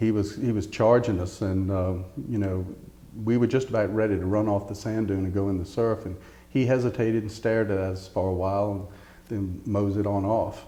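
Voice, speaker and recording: Fairly quick, flat, monotone delivery from a man with an American accent, fairly low pitch and a dark, mellow tone, in audible room echo. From Eastern Shore of Virginia. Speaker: oral history interviewee. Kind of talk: oral history interview. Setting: interview at a heritage center.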